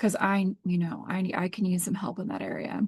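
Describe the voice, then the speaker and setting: A woman talks at a moderate pace with a medium pitch. Her voice is somewhat breathy. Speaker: tarot and astrology reader. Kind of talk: oracle card reading. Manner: casual, filler-heavy.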